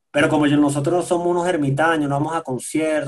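The speaker has a Venezuelan accent. The pace is fairly quick. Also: man. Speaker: sound engineer and musician. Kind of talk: casual chat.

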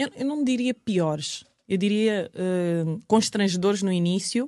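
Recorded very cleanly against a silent background, a woman's speech unfolds at a fairly slow pace. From Angola. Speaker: model and TV presenter. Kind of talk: podcast interview. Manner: hesitant, many repetitions.

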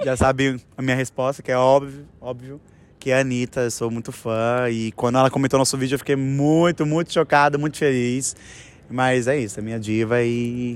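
Delivery moves at a moderate pace. The intonation stays monotone and flat. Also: man. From São Paulo, West Zone. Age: 20s. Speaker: dancer. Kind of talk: interview.

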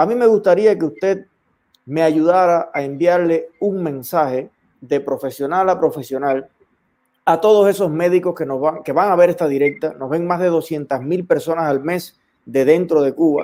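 With a dark, mellow tone, a man speaks at a high pitch with ordinary pitch variation. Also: moderate pace. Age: young. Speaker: online show host. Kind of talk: interview. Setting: livestream.

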